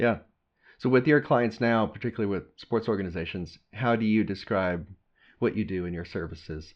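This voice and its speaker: A man with an American accent, a fairly low pitch and a plain, everyday voice talks at a fairly quick pace with ordinary pitch variation. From Texas. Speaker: podcast host. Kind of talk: interview.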